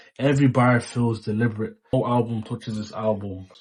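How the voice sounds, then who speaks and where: Against a quiet background, a man speaks at a moderate pace in a medium pitch. His voice is somewhat breathy, with flat, monotone intonation. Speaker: music youtuber. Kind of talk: album ranking monologue.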